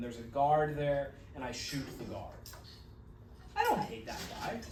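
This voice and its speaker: A man's fairly high-pitched voice, with audible room echo and noticeable background noise. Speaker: college psychology instructor. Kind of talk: lecture. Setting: classroom with students.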